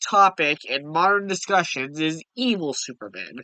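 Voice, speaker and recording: A man projects a raised voice with a high pitch and a bright, sharp tone. He speaks at a fairly slow pace, and the sound is dry and close with no echo. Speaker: YouTuber discussing comics. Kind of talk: casual video commentary.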